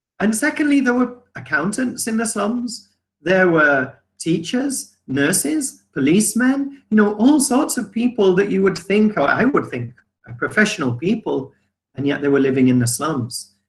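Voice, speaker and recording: This man has a high pitch and an English accent, speaking at a moderate pace with very wide pitch swings. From England. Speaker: business owner. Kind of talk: testimony. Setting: video call.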